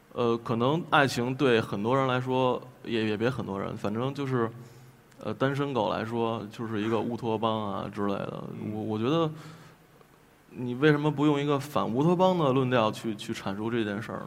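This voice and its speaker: Amid noticeable background noise and audible room echo, a man speaks at a moderate pace with a medium pitch and ordinary pitch variation. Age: 20s. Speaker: folk singer-songwriter. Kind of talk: panel discussion.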